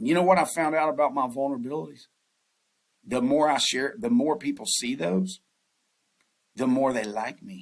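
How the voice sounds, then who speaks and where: A man with a Southern US accent speaks at a moderate pace in a fairly high pitch, his voice swinging very widely in pitch and broken by long, frequent pauses. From US South. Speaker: investment banker. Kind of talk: podcast interview.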